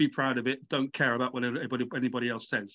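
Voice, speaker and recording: A man with a British accent at medium pitch and a very fast pace. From Britain. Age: 40s. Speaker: author. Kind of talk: interview. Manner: halting.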